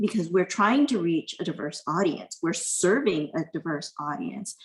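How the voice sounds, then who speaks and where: A woman with a somewhat breathy, medium-pitched voice speaks at a moderate pace with lively intonation. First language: not English. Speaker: university privacy officer. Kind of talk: panel discussion.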